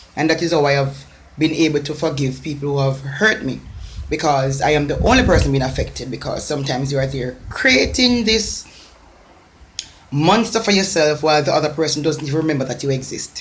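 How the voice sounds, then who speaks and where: In a Jamaican accent, a woman speaks at a fairly quick pace with a very deep, low pitch and lively intonation. Noticeable background noise and audible room echo surround her. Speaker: motivational speaker. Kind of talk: motivational talk. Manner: emphatic, repetitive.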